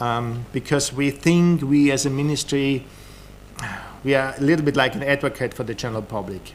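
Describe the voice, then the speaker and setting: Fairly even intonation marks this speaker. He is a man talking with a German accent. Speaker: government official. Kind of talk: conference talk. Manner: halting, many repetitions.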